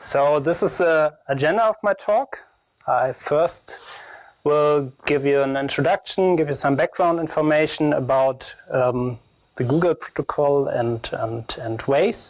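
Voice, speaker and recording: A man with a strong German accent speaks at a fairly slow pace and a fairly high pitch. His loudness stays very even, and his pitch varies in an ordinary way. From Germany. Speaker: security researcher. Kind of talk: conference talk. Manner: halting, many fillers.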